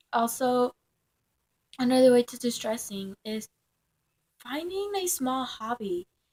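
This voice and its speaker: A woman with a Spanish accent speaks at a high pitch, her intonation lively. The sound is dry and close, with no echo. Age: young. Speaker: vlogger. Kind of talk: casual vlog monologue. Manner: halting, many fillers.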